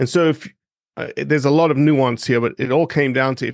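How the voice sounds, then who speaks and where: A man with a South African accent and a fairly high pitch speaks with ordinary pitch variation in a dry, close sound with no echo and a quiet background. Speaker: conservation non-profit director and wetland ecologist. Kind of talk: casual interview.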